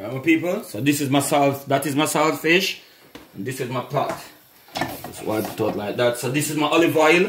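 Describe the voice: A man speaks at a moderate pace with medium pitch and ordinary pitch variation. Room echo is audible.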